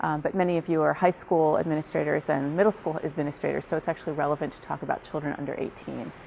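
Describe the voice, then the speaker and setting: Talking at a very fast pace, a woman with an American accent uses a very deep, low pitch, vocal fry and fairly even intonation. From New York City. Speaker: research psychologist. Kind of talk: professional development lecture.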